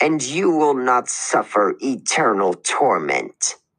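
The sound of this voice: Hissing as he talks, a man puts on a character voice at a medium pitch and a fairly slow pace.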